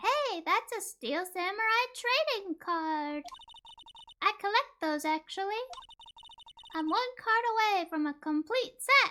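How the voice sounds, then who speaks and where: A female-sounding put-on character voice speaks at an extremely high pitch. The pace is fairly slow, with long, frequent pauses. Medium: game stream. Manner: chatty, slightly nervous.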